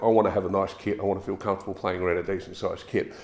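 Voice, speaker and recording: This man talks very fast with an Australian accent and a fairly low pitch. There is noticeable background noise. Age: 60s. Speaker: drummer reviewing gear. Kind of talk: product review. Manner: casual, some hesitations and repeats.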